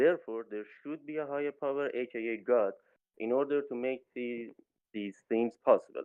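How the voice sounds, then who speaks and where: A man is speaking. He has a non-native accent. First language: not English. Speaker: debate participant. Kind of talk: debate. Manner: halting.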